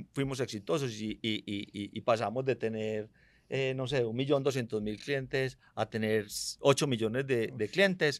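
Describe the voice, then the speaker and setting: A man's normal speaking voice at medium pitch, ordinary pitch variation, and a fairly slow pace. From Medellín, Colombia. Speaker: fintech company CEO. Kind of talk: interview conversation.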